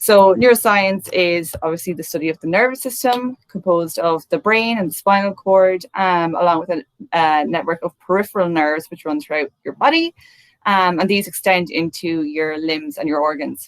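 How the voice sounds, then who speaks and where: In a dry, close sound with no echo, a woman with an Irish accent speaks at a moderate pace, her fairly low pitch showing ordinary variation. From Ireland, midlands. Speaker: neuroscientist. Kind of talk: talk to an online audience. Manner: many fillers (um).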